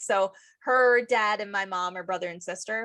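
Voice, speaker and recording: A woman's voice is loud. It has a bright, sharp tone. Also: very clean recording, silent background. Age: 40s. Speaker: podcast host. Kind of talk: casual chat. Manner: energetic, excitable.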